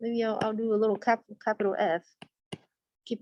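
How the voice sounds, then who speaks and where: The speaker has a non-native accent. The tone is dark and mellow. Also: woman, dry, close sound with no echo. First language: not English. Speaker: statistics teacher. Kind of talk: lecture. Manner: conversational, asks students questions.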